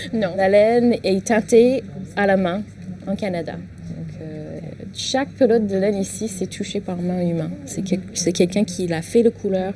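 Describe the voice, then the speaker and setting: A woman with an English accent at a fairly slow pace, over noticeable background noise. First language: English (speaking French). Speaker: knitting shop owner and teacher. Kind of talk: casual interview. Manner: halting, with hesitations.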